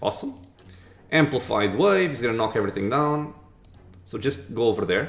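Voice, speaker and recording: Male voice with a non-native accent, medium in pitch and somewhat breathy, at a fairly quick pace with lively intonation and long, frequent pauses. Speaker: gaming commentator. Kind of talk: let's play commentary. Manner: casual.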